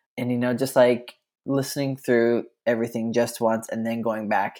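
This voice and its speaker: An ordinary speaking voice with an American accent moves at a moderate pace and fairly even intonation. The recording is very clean, with a silent background. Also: man. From US, rural eastern Colorado. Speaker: podcast guest, fan. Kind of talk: casual chat.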